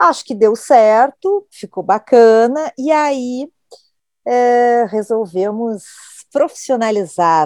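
Very slow woman's voice with a fairly high pitch. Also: dry, close sound with no echo. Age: 50s. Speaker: podcast host, journalist. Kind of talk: casual chat.

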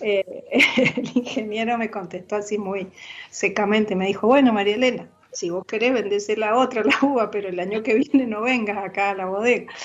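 A woman talks at a moderate pace with a fairly high pitch and fairly even intonation. Noticeable background noise is present. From Argentina, Mendoza. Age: 60s. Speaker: retired teacher and wine producer. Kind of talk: casual interview.

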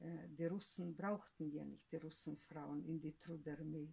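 A woman talks at a very slow pace in a fairly low pitch. Her tone is dark and mellow, and her voice is somewhat breathy. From Siberia, Russia. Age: 70s. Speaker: grandmother, eyewitness of family history. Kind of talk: oral history interview. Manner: halting.

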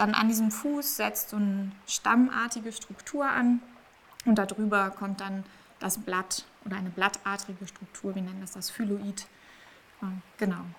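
At a fairly slow pace, a woman speaks at a medium pitch with fairly even intonation, big swings in loudness, and long, frequent pauses. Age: 20s. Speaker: marine biology PhD student and research diver. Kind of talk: interview.

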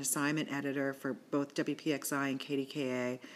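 A woman's voice on a very clean recording with a silent background. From Western Pennsylvania. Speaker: magazine editor and podcast host. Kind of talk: casual interview chat. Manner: halting, many repetitions.

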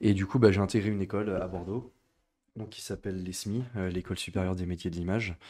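On a very clean recording with a silent background, a man with a very deep, low pitch and a dark, mellow tone talks at a very fast pace with fairly even intonation and big swings in loudness. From western France (Niort). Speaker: art director and graphic designer. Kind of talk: interview. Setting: school premises, streamed live.

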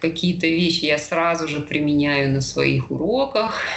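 Noticeable background noise and audible room echo around a woman's moderate pace. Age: 40s. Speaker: yoga instructor. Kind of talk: casual interview.

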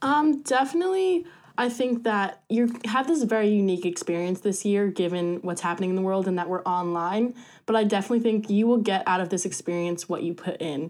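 A woman with an American accent has an ordinary speaking voice at medium pitch and lively intonation. The recording is very clean, with a silent background. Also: fairly quick pace. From US Northeast, rural New Jersey. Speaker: student orientation leader. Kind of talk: casual chat.

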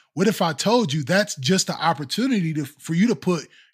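In a very clean recording with a silent background, a man speaks in an animated tone at a high pitch, his voice swinging very widely up and down. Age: 30s. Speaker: podcast host. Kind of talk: casual chat.

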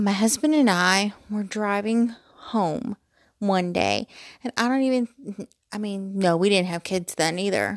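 Recorded very cleanly with a silent background and a dry, close sound with no echo, a woman speaks at a medium pitch and fairly slow pace with ordinary pitch variation. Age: 40s. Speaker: podcaster, mother. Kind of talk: casual monologue. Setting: home bedroom. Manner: rambling, chatty.

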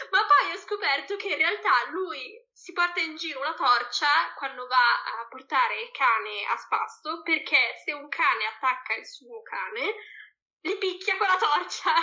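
A woman speaks at an extremely high pitch in a raised, projected voice. Her pitch swings very widely. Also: fairly slow pace. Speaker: Italian expat. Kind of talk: casual chat. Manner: halting, searching for words.

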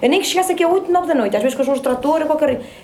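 A woman's speech has audible room echo, with noticeable background noise present too. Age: 40s. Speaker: rural woman interviewee, public employee. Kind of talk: personal testimony.

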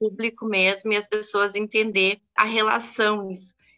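Monotone, flat intonation at a fairly slow pace. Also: woman. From Brazil–Uruguay border, Santana do Livramento. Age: 40s. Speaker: feminist activist. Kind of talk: interview.

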